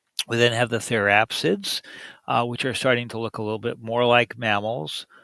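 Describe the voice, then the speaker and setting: A man speaks at a medium pitch and a moderate pace, his tone bright and sharp. The sound is dry and close, with no echo. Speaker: university lecturer. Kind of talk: pre-recorded lecture. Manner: halting, many filler uhs.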